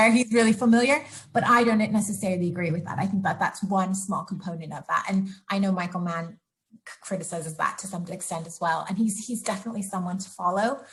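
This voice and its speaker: Somewhat breathy and with big swings in loudness, a woman talks at a very fast pace in a medium pitch with ordinary pitch variation. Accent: American. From US Pacific Northwest. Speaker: sustainability researcher. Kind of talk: interview.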